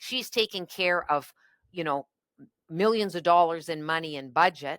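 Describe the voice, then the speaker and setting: A woman with a Canadian accent talks at a moderate pace in a fairly low pitch, her tone bright and sharp with ordinary pitch variation. The recording is very clean, with a silent background and a dry, close sound free of echo. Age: 60s. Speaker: politician. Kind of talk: interview.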